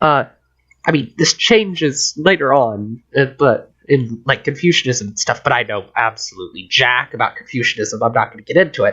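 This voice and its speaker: With an unremarkable speaking voice, a man at a fairly high pitch uses lively intonation, a moderate pace and big swings in loudness. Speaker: podcast host. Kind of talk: casual chat.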